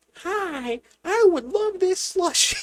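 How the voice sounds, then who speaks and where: This is a put-on character voice pitched extremely high. It sounds squeaky. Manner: funny, silly.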